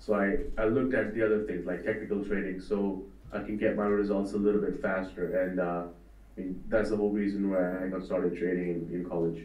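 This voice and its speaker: Pitched fairly low, a man talks at a fairly quick pace in a monotone, flat intonation, with audible room echo. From India. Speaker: trading educator. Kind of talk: interview. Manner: hesitant, many fillers.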